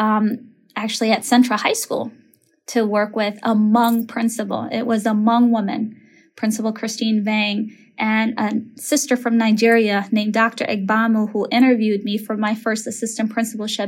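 In an American accent, a woman speaks in a somewhat breathy voice. Her delivery is moderately paced and monotone, with flat intonation. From Minneapolis, Minnesota (Somali family). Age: 30s. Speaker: elementary school principal. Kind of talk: interview conversation.

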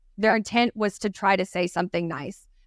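Recorded very cleanly with a silent background and a dry, close sound free of echo, a woman with a Texan accent talks very fast at a medium pitch. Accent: Texan Southern US. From Texas. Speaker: recruiting podcast co-host. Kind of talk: casual chat. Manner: fast talker; animated.

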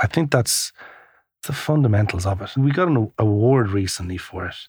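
A man's somewhat breathy, fairly low-pitched voice with an Irish accent, on a very clean recording with a silent background. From Ireland, Kilkenny. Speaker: coffee shop entrepreneur. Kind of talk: interview.

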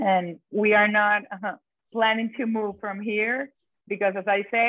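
A woman talks fairly slowly in a fairly high voice. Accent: Venezuelan. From Venezuela, Caracas. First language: Spanish. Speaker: chocolatier. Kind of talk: interview. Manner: halting.

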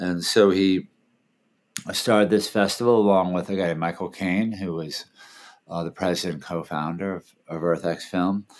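A man with a very deep, low pitch talks at a moderate pace with fairly even intonation and long, frequent pauses. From Washington D.C., US. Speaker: film festival founder and documentary director. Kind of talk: interview. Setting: video call.

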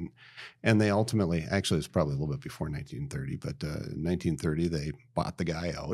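Very deep and low, a man with an American accent talks very fast with vocal fry in a very clean recording with a silent background. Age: 50s. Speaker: lumber company president. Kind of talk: casual interview.

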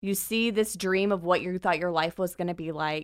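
A woman with an American accent speaks at a fairly slow pace in a very clean recording with a silent background, dry and close with no echo. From US military bases, various. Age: 30s. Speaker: church group leader. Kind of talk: casual chat.

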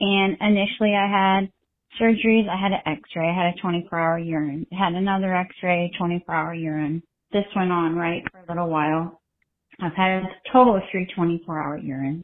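An unremarkable speaking voice from a woman with an American accent, fairly low-pitched, with fairly even intonation, a moderate pace and big swings in loudness. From Ohio, US Midwest. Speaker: listener calling in with a question. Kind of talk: recorded voicemail question.

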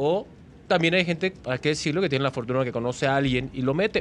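This man speaks with a Mexican accent. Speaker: sports broadcaster. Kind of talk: casual interview chat.

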